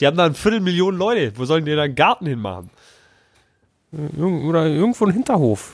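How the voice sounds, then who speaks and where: A man talks very fast in an animated tone, with very wide pitch swings. Long, frequent pauses break up his speech. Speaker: podcast host. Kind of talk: live commentary over an episode.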